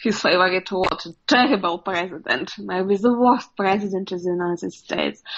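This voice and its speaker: Speaking at a fairly slow pace, a woman uses ordinary pitch variation. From Russia. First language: Russian. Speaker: journalist. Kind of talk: interview. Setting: video call. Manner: halting.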